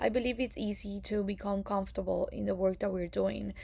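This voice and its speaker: A woman is speaking. She has a Spanish accent. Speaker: occupational therapy graduate student. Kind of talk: prepared class presentation. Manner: hesitant, many fillers.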